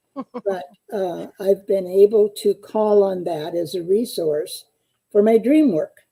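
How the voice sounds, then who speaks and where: A woman's very slow voice in a US Midwestern accent, medium-pitched with ordinary pitch variation, dark and mellow in tone, dry and close with no echo. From US Midwest (eastern Iowa). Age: 80s+. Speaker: psychotherapist and dream analyst. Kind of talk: interview.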